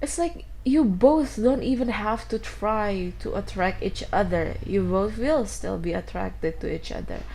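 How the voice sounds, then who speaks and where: A woman with a non-native accent talks at a fairly slow pace with hardly any pauses. Audible room echo surrounds her voice. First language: not English. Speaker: tarot reader. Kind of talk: tarot reading. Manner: halting.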